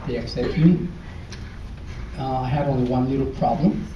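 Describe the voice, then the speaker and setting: A man with a strong Ecuadorian accent talks fairly quickly at a medium pitch. Room echo is audible, along with noticeable background noise. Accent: heavy Ecuadorian Spanish. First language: Spanish. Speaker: former student speaker. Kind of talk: speech to an audience. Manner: halting.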